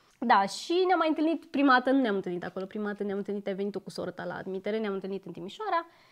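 A woman talks at a very fast pace with hardly any pauses and lively intonation. Her loudness swings widely against a quiet background. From Romania. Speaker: YouTuber. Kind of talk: casual chat. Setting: home, on a couch. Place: home room. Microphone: lapel.

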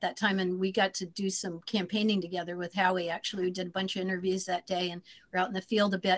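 The woman's voice sits at a medium pitch. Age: 60s. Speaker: former senate candidate and teacher; candidate, teacher. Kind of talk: Q&A on a video call. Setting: video call. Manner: hesitant, many fillers. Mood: modest, reflective. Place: home room. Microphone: video call.

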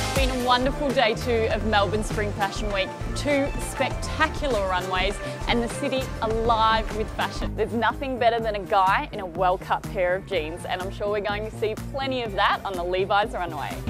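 A woman at a moderate pace, the sound dry with no echo and clear music in the background. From Australia. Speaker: TV presenter. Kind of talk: TV presenting to camera. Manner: dynamic yet relaxed.

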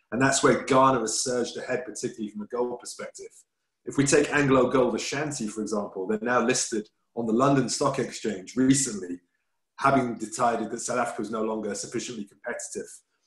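A man's medium-pitched voice at a very fast pace, fairly even in intonation, with audible room echo over a quiet background. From England. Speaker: business chamber president, webinar host; webinar host. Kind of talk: webinar moderation. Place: home room. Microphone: video call.

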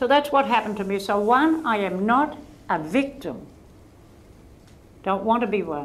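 A woman's lively intonation in an Australian accent. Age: 80s+. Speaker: author and volunteer counsellor. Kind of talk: interview answer. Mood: firm, earnest. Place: hall. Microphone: lapel.

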